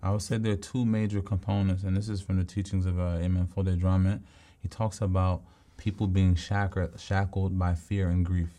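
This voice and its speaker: A dark, mellow voice with an American accent, monotone and flat, very even in loudness at a fairly quick pace, on a very clean recording with a silent background. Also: man, very deep, low pitch for a man. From US Northeast, Philadelphia. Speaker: poet and author. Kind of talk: casual chat.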